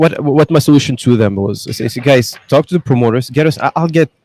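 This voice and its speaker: With a non-native accent, a man talks at a moderate pace and fairly high pitch, showing ordinary pitch variation in a dry, close sound with no echo. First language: not English. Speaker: business executive. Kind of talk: podcast interview. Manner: animated.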